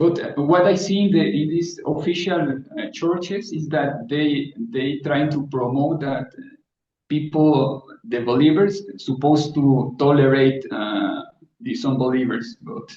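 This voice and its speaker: A man's fairly high, somewhat breathy voice with lively intonation at a fairly slow pace. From South Africa. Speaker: guest. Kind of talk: casual chat. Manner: halting.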